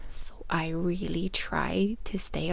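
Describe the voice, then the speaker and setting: A soft-spoken woman talks with an Irish accent. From Ireland. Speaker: author. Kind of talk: ASMR book reading.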